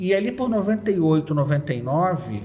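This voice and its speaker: Lively intonation rises and falls against audible room echo. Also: man. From Rio de Janeiro suburbs, Brazil. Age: 40s. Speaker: carnival blogger and economist. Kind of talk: interview.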